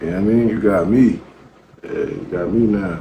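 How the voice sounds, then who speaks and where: Quiet and at a moderate pace, a man speaks with fairly even intonation amid audible room echo and noticeable background noise. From Baltimore, Maryland, US. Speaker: battle rapper. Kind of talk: interview.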